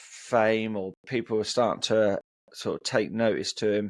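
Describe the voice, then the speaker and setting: The recording of this man's voice has a dry, close sound with no echo. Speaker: music vinyl collector co-host. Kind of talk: casual chat.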